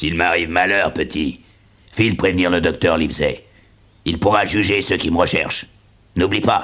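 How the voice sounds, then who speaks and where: Putting on a character voice, a man talks at a moderate pace in a very deep, low pitch, with long, frequent pauses. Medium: audio drama.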